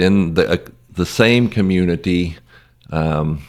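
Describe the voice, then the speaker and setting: A man with a southern Ohio accent talks at a very slow pace in a very deep, low pitch. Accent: regional southern Ohio. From southern Ohio near Kentucky. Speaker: missionary, retired auditor. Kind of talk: casual interview. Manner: hesitant, many fillers.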